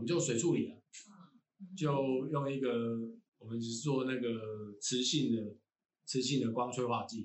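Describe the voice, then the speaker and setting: A man's fairly slow, medium-pitched speech in a Taiwanese accent, broken by long, frequent pauses. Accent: Taiwanese Mandarin. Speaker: university lecturer in environmental engineering. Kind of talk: casual interview chat. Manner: halting, many fillers and repetitions.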